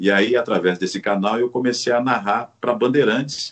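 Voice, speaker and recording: A man with an ordinary speaking voice talks at a moderate pace and medium pitch. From Paraná, Brazil. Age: 50s. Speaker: sports commentator. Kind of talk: interview.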